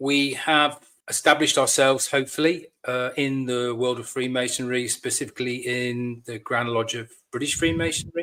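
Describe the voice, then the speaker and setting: This man has a bright, sharp tone at a medium pitch, with a West Country accent. His intonation is fairly even and his pace moderate. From Devon, England. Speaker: lodge master, military veteran. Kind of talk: podcast interview.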